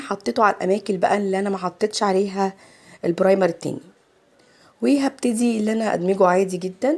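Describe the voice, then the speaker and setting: A woman with an Egyptian accent speaks at a medium pitch. Her pace is moderate and her pitch variation ordinary. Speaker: makeup artist. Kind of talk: tutorial. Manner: chatty.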